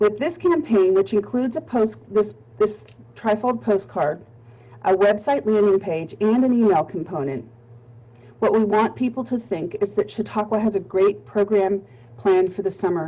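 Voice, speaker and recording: A woman speaks in a Pittsburgh accent at a moderate pace. Her medium pitch moves with lively intonation. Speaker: nonprofit marketing presenter. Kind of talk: webinar presentation. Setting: webinar.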